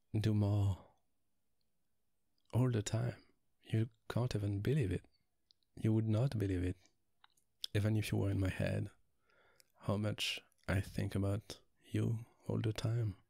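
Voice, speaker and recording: Soft-spoken and somewhat breathy, this voice has a dark, mellow tone and a French accent. It moves at a fairly slow pace with long, frequent pauses. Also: man, fairly low pitch for a man, fairly even intonation, very even loudness, very clean recording, silent background. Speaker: ASMR roleplay performer. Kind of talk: ASMR boyfriend roleplay. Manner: soft-spoken, relaxing; affectionate, reassuring.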